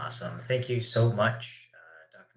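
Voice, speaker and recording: In a Canadian accent, a man speaks at a fairly slow pace with a very deep, low pitch, a bright, sharp tone, and vocal fry. Audible room echo and light background noise are present. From Alberta, Canada. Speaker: panel moderator and community organizer; panel moderator. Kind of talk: panel discussion. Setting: video call. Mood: warm, appreciative. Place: office.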